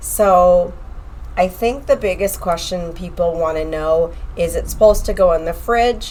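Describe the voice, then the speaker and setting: This woman keeps a moderate pace while noticeable noise carries on behind her. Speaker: online health and fitness coach. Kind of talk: podcast tutorial. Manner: casual, chatty.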